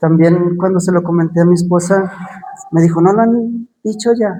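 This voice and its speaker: Audible room echo surrounds a man whose high-pitched voice keeps fairly even intonation. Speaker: preacher. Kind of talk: sermon.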